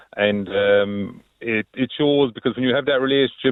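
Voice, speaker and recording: A man with a slight Kerry accent speaks at a medium pitch. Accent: slight Kerry twang. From Ireland, County Limerick (born County Kerry). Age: 50s. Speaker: farmer. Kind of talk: radio phone-in interview. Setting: phone call. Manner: halting, with many fillers.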